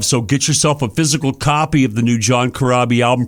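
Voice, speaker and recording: A man with an unremarkable speaking voice and ordinary pitch variation. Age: 60s. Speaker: radio host and rock musician. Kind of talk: radio interview.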